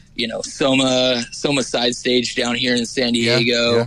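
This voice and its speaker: With an American accent, a man talks at a fairly slow pace and medium pitch over noticeable background noise. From California high desert, Ridgecrest. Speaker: singer. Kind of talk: casual chat.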